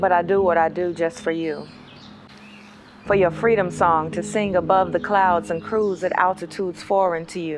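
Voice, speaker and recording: A woman's fairly low-pitched voice with fairly even intonation, set against noticeable background noise. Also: moderate pace. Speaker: spoken word poet. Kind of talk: poetry reading.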